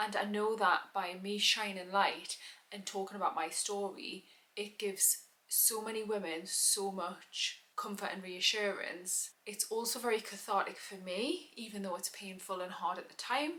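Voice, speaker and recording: Speaking with a British accent at a moderate pace, a woman keeps a medium pitch and fairly even intonation, though her loudness swings widely. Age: 30s. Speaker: vlogger. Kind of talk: personal testimony.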